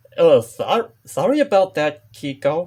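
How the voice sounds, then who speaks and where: A put-on character voice delivers the lines fairly slowly. Its pitch sits in the middle range. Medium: read story.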